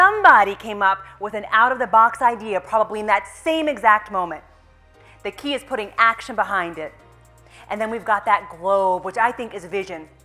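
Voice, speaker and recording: Music in the background under a woman's fairly high voice at a moderate pace, with ordinary pitch variation and big swings in loudness. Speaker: keynote speaker and TV journalist. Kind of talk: motivational keynote speech. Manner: lively, genuine; eloquent.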